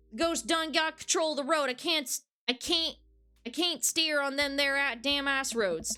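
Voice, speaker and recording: A woman puts on a character voice with a Southern US accent. Her pitch is high and her pace moderate. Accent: southern American. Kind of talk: rural slang. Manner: exaggerated, comedic.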